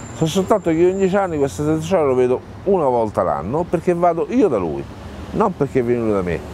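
A man races along at a very fast pace with a fairly high pitch and very wide pitch swings, the sound dry with no echo over light background noise. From Rome, Italy; Italy. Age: 50s. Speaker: homeless man living in his car; interviewee. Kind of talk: testimony. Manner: halting, with many repetitions. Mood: bitter, resigned. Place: garden. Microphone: lapel.

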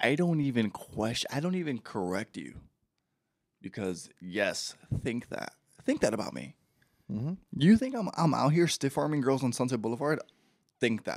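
Speaking at a medium pitch and moderate pace, a man uses very wide pitch swings. Long, frequent pauses break his speech against a quiet background. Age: 30s. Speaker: podcaster. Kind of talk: casual chat. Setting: studio. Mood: joking, playful. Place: home room. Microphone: handheld.

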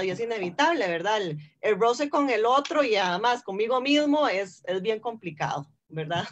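Lively intonation moves along at a moderate pace against a quiet background. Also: woman. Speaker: forum moderator. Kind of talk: film discussion forum. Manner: halting, repetitive. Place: home room. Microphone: video call.

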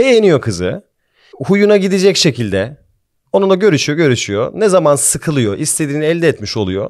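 Against a quiet background, a man speaks at a moderate pace in a fairly high voice with very wide pitch swings. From Austria. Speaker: podcast host. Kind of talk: casual chat. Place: studio. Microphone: studio mic.

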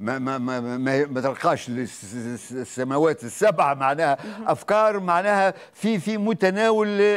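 A man talks at a very slow pace with very wide pitch swings. The background is quiet. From Tunisia. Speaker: stage actor. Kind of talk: TV interview. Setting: studio. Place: studio.

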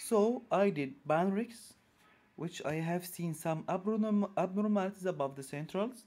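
This man has a dark, mellow tone and a high pitch, with an Arabic accent. He talks at a fairly slow pace with ordinary pitch variation. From Egypt. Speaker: orthodontist. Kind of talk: lecture.

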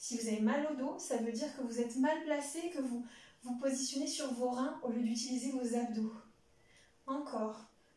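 With a dark, mellow tone yet high pitch, a woman speaks at a fairly slow pace amid audible room echo. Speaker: fitness instructor. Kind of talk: exercise class instruction. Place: home room. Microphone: camera far.

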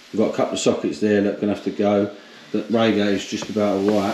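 A fairly low-pitched man in a monotone, flat delivery, with audible room echo and light background noise. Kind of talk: casual vlog chat. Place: home room. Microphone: phone near.

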